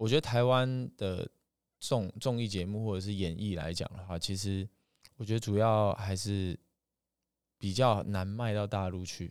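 A man at fairly low pitch, fairly slow and fairly even in intonation, with long, frequent pauses, on a very clean recording with a silent background. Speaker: singing teacher. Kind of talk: interview conversation.

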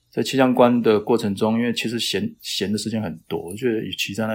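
In a monotone, flat intonation, this man moves along fairly quickly. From Taiwan (Taitung). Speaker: climate science professor. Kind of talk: interview. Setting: remote call. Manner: hesitant, many fillers.

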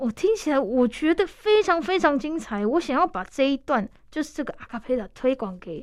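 A woman with a Taiwanese accent speaks at a high pitch. Her tone is warm and animated, with very wide pitch swings. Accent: Taiwanese Mandarin. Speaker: radio host. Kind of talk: radio interview. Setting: radio studio. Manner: warm, animated, laughs often.

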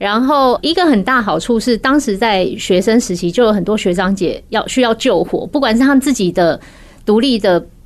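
A woman talks at a moderate pace with lively intonation and very even loudness, in a normal speaking voice. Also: fairly high pitch for a woman. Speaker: makeup and hair stylist, studio founder. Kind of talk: interview.

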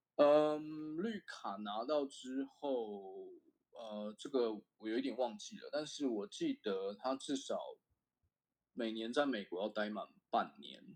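A man at a medium pitch with lively intonation and a very slow pace. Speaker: semiconductor equipment engineer. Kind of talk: casual interview chat. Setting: remote call.

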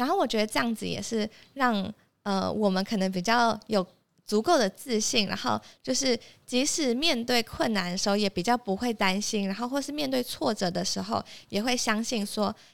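An ordinary speaking voice at a moderate pace with ordinary pitch variation, captured in a very clean recording against a silent background. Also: woman, fairly high pitch for a woman. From Taipei, Taiwan. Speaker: recent university graduate. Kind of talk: interview.

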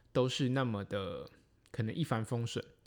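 Speech unfolds at a moderate pace. Everything is on a very clean recording with a silent background. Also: man. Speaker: triathlon podcast host. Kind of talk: solo podcast monologue. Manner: frequent fillers and hesitations.

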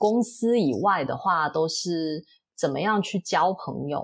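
Very slow pace in a very clean recording with a silent background. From Singapore. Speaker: podcast host. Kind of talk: interview.

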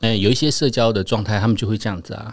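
A man talks at a very fast pace. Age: 40s. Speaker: podcast co-host. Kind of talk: casual chat.

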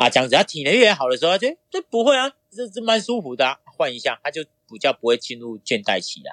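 Very fast and with big swings in loudness, a man speaks in a dry, close sound with no echo. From Taiwan, Pingtung County (southern Taiwan). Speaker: triathlete and boxing coach. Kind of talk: interview.

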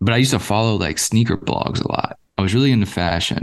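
A man's normal speaking voice at a fairly quick pace with ordinary pitch variation. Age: 30s. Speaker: podcast host and founder. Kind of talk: casual chat.

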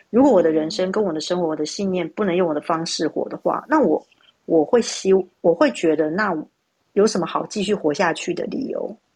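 Lively in intonation, a woman speaks at a medium pitch and a fairly quick pace. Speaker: human design analyst. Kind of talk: casual chat. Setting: live social audio room.

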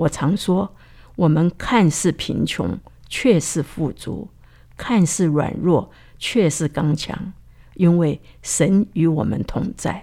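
Very slowly and at a fairly low pitch, a woman speaks with ordinary pitch variation. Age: 80s+. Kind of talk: testimony.

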